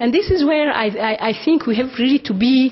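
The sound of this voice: There's a slightly husky edge to this woman's fairly high voice as she speaks at a moderate pace with ordinary pitch variation.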